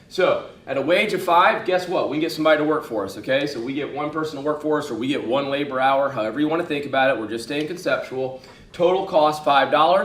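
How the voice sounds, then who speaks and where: A man with a fairly high voice talks at a very fast pace, his tone animated and his pitch varying in an ordinary way. Noticeable background noise and audible room echo surround him. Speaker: economics teacher. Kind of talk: lecture.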